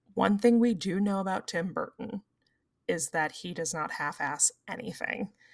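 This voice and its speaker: A normal speaking voice from a woman: moderate pace, medium pitch, ordinary pitch variation. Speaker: podcast co-host. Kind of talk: casual chat.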